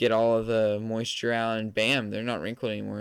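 A man talks at a medium pitch with a Southern US accent. The recording is very clean, with a silent background. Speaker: podcaster. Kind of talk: casual solo monologue. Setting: home recording setup. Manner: casual, rambling; loud talker.

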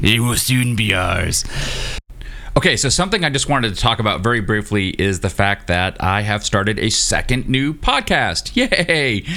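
Amid noticeable background noise, a man with a medium pitch speaks at a moderate pace, his intonation lively and his loudness very even. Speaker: science podcast host. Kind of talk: casual chat. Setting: remote recording, iPad and preamp. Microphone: new microphone, sounds far away.

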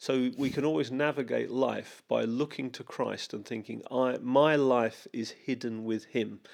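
Here a man uses a normal speaking voice, medium in pitch with fairly even intonation, going at a fairly slow pace with hardly any pauses on a very clean recording with a silent background. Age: 50s. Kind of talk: casual chat.

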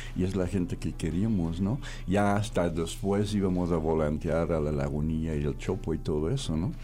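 A man's very deep, low voice, dark and mellow, with ordinary pitch variation and audible room echo. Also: moderate pace, very even loudness. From Belgium. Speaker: former club owner. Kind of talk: radio interview. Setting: studio.

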